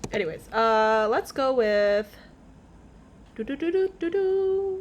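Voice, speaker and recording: Very wide pitch swings mark a woman's high voice as she speaks at a very slow pace. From Canada. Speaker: streamer. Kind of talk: casual chat. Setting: live stream. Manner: animated.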